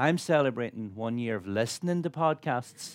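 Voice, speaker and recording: Speaking in an Irish accent, the voice moves at a moderate pace with ordinary pitch variation. The background is silent in this very clean recording. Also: man. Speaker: chef and broadcaster. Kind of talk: on-stage interview. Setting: stage with audience.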